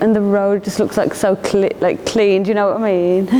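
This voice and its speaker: Over noticeable background noise, a woman talks at a fairly quick pace. Her pitch is medium and her intonation is monotone and flat. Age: 30s. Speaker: artist. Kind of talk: casual interview. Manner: hesitant, filler-heavy.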